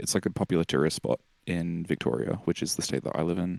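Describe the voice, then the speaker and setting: Very deep and low, a man's voice carries vocal fry and an Australian accent at a fairly quick pace. The recording is very clean with a silent background, dry and close with no echo. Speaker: musician. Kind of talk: casual chat. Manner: halting, many fillers and restarts.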